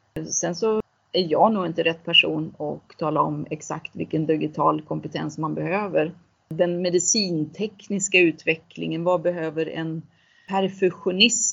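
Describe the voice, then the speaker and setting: Her voice fairly low in pitch with vocal fry, a woman talks at a fairly slow pace with fairly even intonation. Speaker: CEO of a transition fund. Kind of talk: interview.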